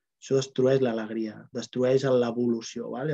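At a fairly slow pace, a man talks in a dark, mellow tone. Nothing much stirs in the background. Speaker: Access Bars facilitator and host; Access Bars facilitator, host. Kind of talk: online group talk. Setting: video call with live chat. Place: home room. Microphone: earbuds.

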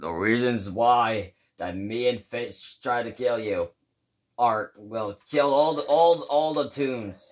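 Using a put-on character voice at medium pitch, a man speaks at a fairly slow pace. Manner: resigned, gloomy.

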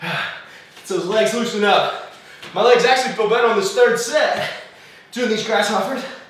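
A man speaks fairly slowly at an extremely high pitch, with ordinary pitch variation. Strong room echo and light background noise surround him. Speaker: fitness coach. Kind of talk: workout coaching while exercising.

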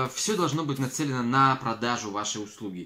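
With a bright, sharp tone and lively intonation, a man speaks at a moderate pace. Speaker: business owner blogger. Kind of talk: casual vlog chat. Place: home room. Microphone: phone near.

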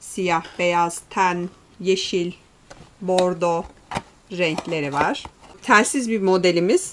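A woman at a very slow pace, with long, frequent pauses, ordinary pitch variation and noticeable background noise. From Turkey. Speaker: shop owner presenting products. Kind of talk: product presentation. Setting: in a shop. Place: shop.

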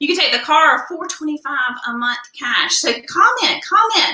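A raised, projected voice in a Southern US accent at a fairly slow pace, with audible room echo and a quiet background. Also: woman. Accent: US South. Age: 40s. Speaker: beauty product consultant; skincare consultant host. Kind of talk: live product demo. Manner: animated. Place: home room. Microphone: webcam.

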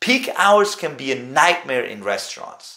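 A man's fairly high, fairly bright voice with lively intonation at a fairly slow pace, plus audible room echo

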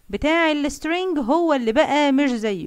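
Speaking at a fairly slow pace in an Egyptian accent, a woman's pitch swings very widely. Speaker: science teacher. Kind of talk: lecture.

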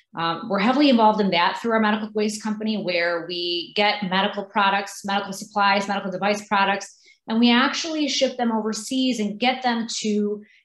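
Talking at a fairly quick pace with hardly any pauses, a woman uses ordinary pitch variation amid audible room echo. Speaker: candidate. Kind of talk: interview answer. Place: home room. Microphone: video call.

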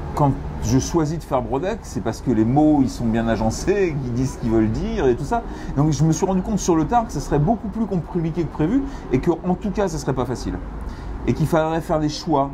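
Noticeable background noise sits behind the recording. A man talks at a fairly quick pace. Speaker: comic book author. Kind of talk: interview answer. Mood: reflective, relaxed. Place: cafe. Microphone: lapel.

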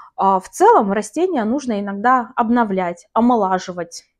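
A woman speaks at a fairly high pitch and a moderate pace. Behind her, the background is quiet. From Karachay-Cherkessia, North Caucasus, Russia. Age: 30s. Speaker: plant-hobby video blogger. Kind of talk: casual vlog monologue. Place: home room. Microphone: lapel.

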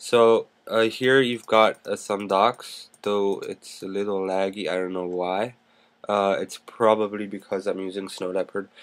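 A man's fairly low voice, monotone and flat, at a fairly slow pace. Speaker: YouTube tech tutorial maker. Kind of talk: screen-recorded tutorial. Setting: screen recording at a computer. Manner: casual, filler-heavy. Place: home room. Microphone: webcam.

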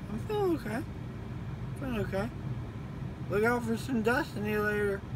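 A man speaks in a dry recording with no echo, though noticeable background noise runs underneath. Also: fairly quick pace. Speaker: vlogger. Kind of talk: casual vlog chat. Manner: sleepy, sedated, slurred speech. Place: car. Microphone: phone near.

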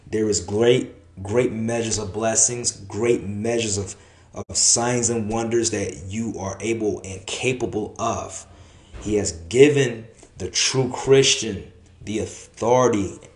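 A man's fairly even, fairly slow speech with audible room echo. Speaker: preacher. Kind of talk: sermon. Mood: earnest, encouraging. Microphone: phone near.

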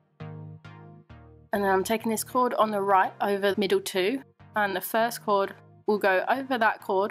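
Music plays in the background as a woman with an English accent speaks at a fairly slow pace. Her pitch is medium and her intonation fairly even. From England. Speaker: macrame crafter. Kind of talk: craft tutorial voiceover.

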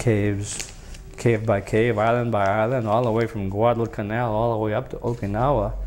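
With a New England accent, a man with a fairly low pitch speaks at a moderate pace over light background noise. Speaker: war veteran. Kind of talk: oral history interview. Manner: halting. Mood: relaxed, reminiscing. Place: home room.

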